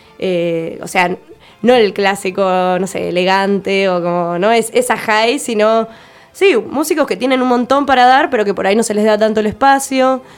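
A woman's fairly high voice with ordinary pitch variation, a plain, everyday voice. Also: moderate pace. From Argentina, Tierra del Fuego (Ushuaia). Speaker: visual artist and musician. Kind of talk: radio interview.

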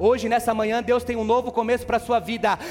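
A man talks with a high pitch. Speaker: preacher. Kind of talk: sermon. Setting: church, live congregation. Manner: animated, preacherly, exhorting the congregation with rhetorical questions.

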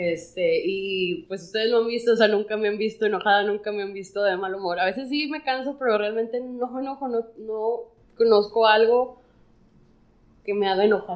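Her voice is a plain, everyday voice: a woman at a moderate pace, fairly high in pitch, with ordinary pitch variation. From Monterrey, Mexico. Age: 30s. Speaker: podcast co-host. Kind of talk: casual chat.

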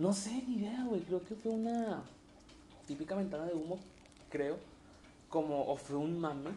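Speaking in a Mexican accent, a man with a high voice leaves long, frequent pauses. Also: ordinary pitch variation, moderate pace. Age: 20s. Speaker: podcast co-host. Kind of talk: casual chat.

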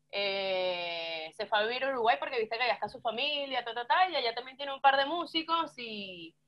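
The woman's pitch is high and swings very widely. She speaks at a fairly quick pace. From Venezuela, Yaracuy (San Felipe). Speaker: rock musician. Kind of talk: casual chat.

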